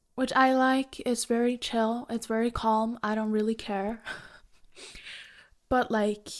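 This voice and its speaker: In a Norwegian accent, a woman talks at a fairly slow pace with a fairly high pitch. Her intonation is monotone and flat, broken by long, frequent pauses. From Norway. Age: 20s. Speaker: Twitch streamer. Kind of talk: casual Q&A talk to camera.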